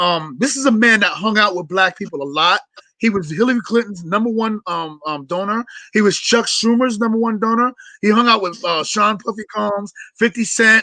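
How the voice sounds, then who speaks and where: A man with a New York accent speaks in a raised, projected voice, high in pitch with ordinary variation. His tone is bright and sharp. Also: moderate pace. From New York City. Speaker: podcast co-host. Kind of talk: political discussion on live show. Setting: live stream.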